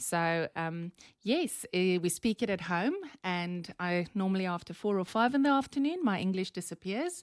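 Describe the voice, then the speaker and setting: A woman with a South African accent speaks at a moderate pace and medium pitch with lively intonation, in a dry, close sound with no echo on a very clean recording with a silent background. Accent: Afrikaans South African. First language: Afrikaans. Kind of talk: podcast interview.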